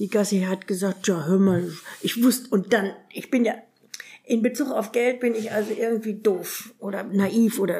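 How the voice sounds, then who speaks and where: Somewhat breathy, fairly high-pitched female voice, dark and mellow in tone. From northern Germany. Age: 80s+. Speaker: retiree telling life story. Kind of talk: life-story interview.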